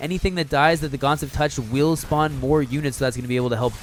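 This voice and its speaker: A man with a medium pitch speaks at a very fast pace with ordinary pitch variation. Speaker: esports caster. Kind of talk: live commentary. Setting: live stream. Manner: fast, slurred; casual, chatty.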